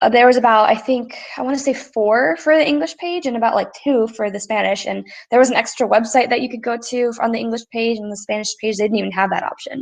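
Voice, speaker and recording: A woman talks at a very fast pace. Her pitch is fairly high, with ordinary pitch variation. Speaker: student presenter. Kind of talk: class presentation. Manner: slurred words.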